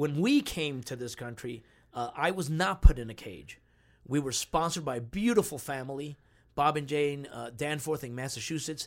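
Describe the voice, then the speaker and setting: An unremarkable speaking voice belongs to a man with a fairly high pitch, who talks at a moderate pace with ordinary pitch variation and big swings in loudness, on a very clean recording with a silent background. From New Jersey (Union City), born in Cuba. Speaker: actor. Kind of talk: casual chat.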